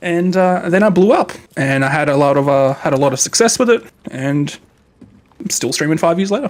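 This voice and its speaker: Someone speaks with an Australian accent. The pace is fairly quick. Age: 20s. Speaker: game streamer. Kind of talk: live stream chat with gameplay. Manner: casual, chatty; kept quiet, late at night.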